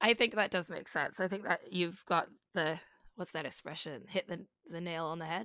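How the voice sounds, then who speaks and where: In a very clean recording with a silent background, a bright, sharp voice moves at a moderate pace with ordinary pitch variation. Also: woman. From Vancouver Island, Canada. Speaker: singer-songwriter. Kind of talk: casual interview chat. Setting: long-distance call, laggy connection.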